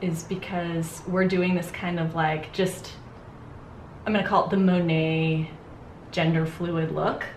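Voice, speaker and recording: A woman talks at a fairly low pitch. Room echo is audible, along with light background noise. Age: 40s. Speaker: makeup artist and educator; educator. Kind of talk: tutorial; casual chat. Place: home room.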